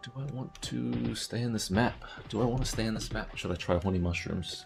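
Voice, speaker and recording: Fairly quick speech from a man, with noticeable background noise underneath. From New Zealand. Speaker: gaming streamer. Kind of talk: live gameplay stream chat. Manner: casual, conversational.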